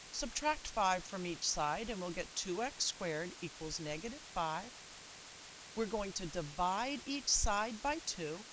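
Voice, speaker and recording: An ordinary speaking voice from a woman, medium in pitch, fairly slow, with lively intonation. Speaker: math teacher. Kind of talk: video lesson tutorial.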